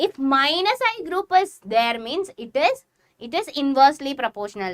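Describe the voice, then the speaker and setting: Woman with a Keralan accent, high in pitch, at a moderate pace with very wide pitch swings. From Kerala, Kozhikode. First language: Malayalam. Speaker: chemistry teacher. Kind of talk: live online class lecture. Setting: livestream.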